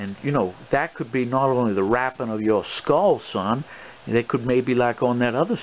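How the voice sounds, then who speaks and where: With an American accent, a man speaks at a moderate pace and medium pitch against noticeable background noise. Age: old. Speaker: adventurer, treasure hunter, swashbuckler. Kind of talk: ASMR role play, fatherly advice. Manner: soft-spoken, avuncular, rambling.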